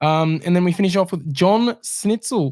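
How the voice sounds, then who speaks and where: A man talks with an Australian accent and ordinary pitch variation. The recording is very clean, with a silent background. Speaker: horse racing podcast host. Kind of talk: casual chat. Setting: studio.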